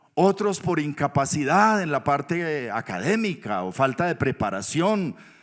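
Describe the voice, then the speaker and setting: The recording is very clean, with a silent background. A man speaks fairly slowly at a fairly high pitch, with very wide pitch swings. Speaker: pastor. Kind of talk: sermon.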